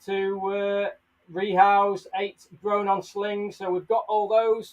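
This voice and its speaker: Here a man speaks with an English accent. His pace is very slow. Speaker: tarantula keeper and live streamer. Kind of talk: live stream tutorial. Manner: loud; animated.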